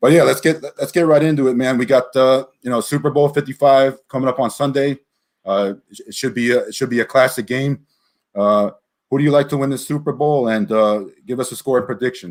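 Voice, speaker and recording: In a plain, everyday voice of medium pitch, a man talks at a fairly quick pace with ordinary pitch variation and big swings in loudness, on a very clean recording with a silent background. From South Florida. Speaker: podcast host. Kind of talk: casual sports chat.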